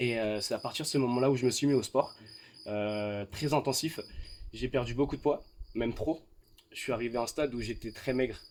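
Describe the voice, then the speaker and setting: On a very clean recording with a silent background, a man talks fairly quickly at a medium pitch with fairly even intonation, taking long, frequent pauses. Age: 20s. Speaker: fitness coach and student. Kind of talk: interview. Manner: hesitant, many fillers.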